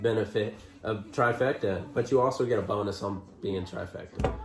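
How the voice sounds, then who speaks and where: The voice has ordinary pitch variation, heard over noticeable background noise with audible room echo. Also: man. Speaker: trucker and vlogger. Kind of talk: casual chat. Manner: stutters sometimes.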